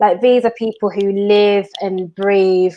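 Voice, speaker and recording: A woman's medium-pitched voice with fairly even intonation and a strong Brummie accent. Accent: thick Brummie. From Birmingham, England. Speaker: TV industry professional. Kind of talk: casual chat.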